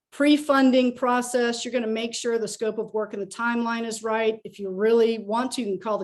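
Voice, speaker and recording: Against a quiet background, a woman speaks at a fairly quick pace in a fairly high pitch with fairly even intonation. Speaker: real estate investor and lender. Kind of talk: webinar presentation. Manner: fast.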